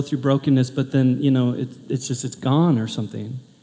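A man with an American accent speaks rather quickly while background noise stays clearly audible. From US Pacific Northwest, Portland. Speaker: pastor. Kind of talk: sermon. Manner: animated.

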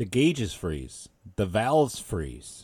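An animated man with an American accent, fairly low-pitched, with very wide pitch swings and vocal fry. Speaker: livestream show host. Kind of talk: casual opinionated political commentary. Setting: live stream from home. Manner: animated, ranting, profane; casual conversational.

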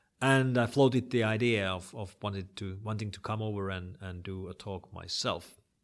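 On a very clean recording with a silent background, a man with a Finnish accent speaks at a moderate pace in a fairly low pitch, his intonation fairly even but his loudness swinging widely. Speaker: internet security expert. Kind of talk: interview.

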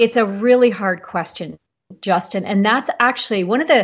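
Somewhat breathy, a woman speaks at a fairly high pitch. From Canada. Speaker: practice coach for health professionals. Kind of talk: interview.

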